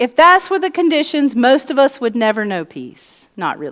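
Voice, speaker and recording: A woman with a Southern US accent and lively intonation. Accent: American Southern. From US South. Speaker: pastor. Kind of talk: sermon.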